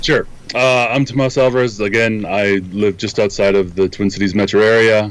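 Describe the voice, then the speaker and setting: Someone with an American accent speaks at a moderate pace with fairly even intonation over noticeable background noise. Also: man. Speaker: photography instructor and software engineer. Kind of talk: interview. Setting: video call.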